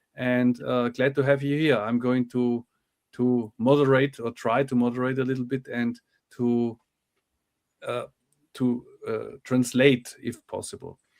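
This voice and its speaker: A man's medium-pitched voice with a German accent, monotone and flat, at a fairly slow pace broken by long, frequent pauses. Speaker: UAP channel host, moderator and translator. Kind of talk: interview moderation. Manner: halting.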